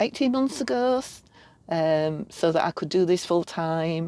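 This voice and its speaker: A woman with a Yorkshire accent, dry and close with no echo. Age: 50s. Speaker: art wellness facilitator. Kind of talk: podcast interview. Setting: campervan.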